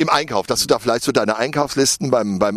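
Speaking at a fast pace, a man holds a medium pitch with ordinary pitch variation.

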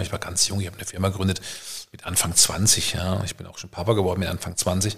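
Flat, monotone intonation delivered at a very fast pace. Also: man. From Germany, Karlsruhe (Baden). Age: 50s. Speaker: entrepreneur and networker. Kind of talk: casual chat. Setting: at home dining room, evening with wine.

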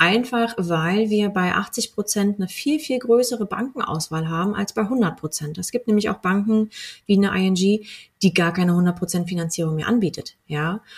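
At a fairly slow pace, a woman with a medium-pitched, somewhat breathy voice speaks with ordinary pitch variation. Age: 30s. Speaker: mortgage broker. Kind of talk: podcast interview.

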